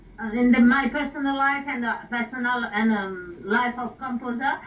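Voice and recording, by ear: With a fairly bright tone and high pitch, a woman speaks at a moderate pace with fairly even intonation.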